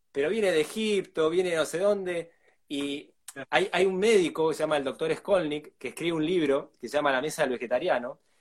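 The speaker has an Argentine accent and a fairly quick pace. Pitch variation is ordinary. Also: man, fairly high pitch for a man. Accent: Argentine Spanish (rioplatense voseo). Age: 40s. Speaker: food producer and fermentation educator. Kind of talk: live interview.

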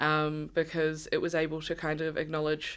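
A woman with a New Zealand accent is heard on a very clean recording against a silent background. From New Zealand (Māori, Ngāi Tahu). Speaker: rainbow community advocate. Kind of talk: casual chat.

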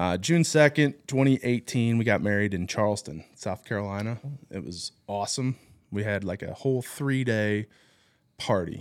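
A man with a normal speaking voice talks at a fairly low pitch and moderate pace with lively intonation. The recording is very clean, with a silent background. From US Midwest, southern Illinois. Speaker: widowed father. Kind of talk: testimony.

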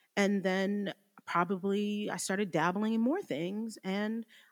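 Recorded dry and close with no echo against a silent background in a very clean recording, a woman uses a normal speaking voice at medium pitch and a moderate pace. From New Jersey. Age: 30s. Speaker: recovering addict. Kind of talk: testimony.

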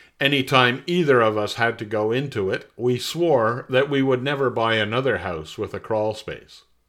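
In a Canadian accent, a man with a plain, everyday voice speaks at a medium pitch and moderate pace with ordinary pitch variation, on a very clean recording with a silent background. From Montreal, Quebec. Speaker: personal essayist. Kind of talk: reading aloud.

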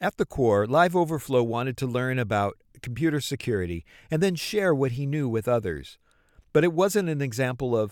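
A man's pitch swings very widely. The recording is very clean, and the background is silent. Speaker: podcast host. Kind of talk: scripted narration and interview questions.

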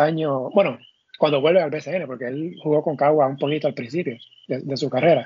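A man with an unremarkable speaking voice talks at a moderate pace, his pitch fairly high and varying in an ordinary way. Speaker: sports podcast host. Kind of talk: casual chat.

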